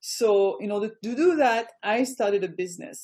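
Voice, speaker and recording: Speaking at a moderate pace in a French accent, a woman has a fairly high, dark, mellow voice with lively intonation. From France. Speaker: business coach. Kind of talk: online presentation. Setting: video call.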